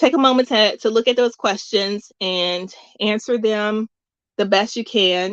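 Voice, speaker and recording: Speaking at a fairly slow pace, a woman with an American accent and a fairly high pitch has an unremarkable speaking voice with ordinary pitch variation, the sound dry and close with no echo. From US South. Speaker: music workshop host. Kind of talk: workshop tutorial.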